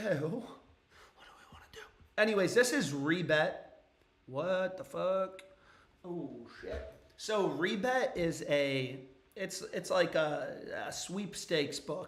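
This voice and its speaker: A man's high-pitched voice at a very slow pace, with lively intonation, big swings in loudness, audible room echo and noticeable background noise. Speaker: sports betting streamer. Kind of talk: casual livestream commentary.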